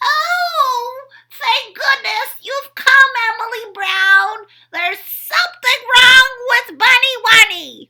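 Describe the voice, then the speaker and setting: A put-on character voice crawls along at a very slow pace. It is squeaky and whiny, with a tearful, whiny tone. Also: woman, extremely high pitch for a woman. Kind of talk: bedtime story. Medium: read story.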